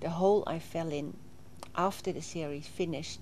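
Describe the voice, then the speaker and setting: A woman with a Swedish accent speaks at a moderate pace in a dark, mellow tone, fairly low in pitch with ordinary pitch variation. Vocal fry comes through, and room echo is audible. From southern Sweden (Småland, near Vimmerby). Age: 60s. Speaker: interviewee recounting her life. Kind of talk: interview testimony. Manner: halting, with frequent fillers.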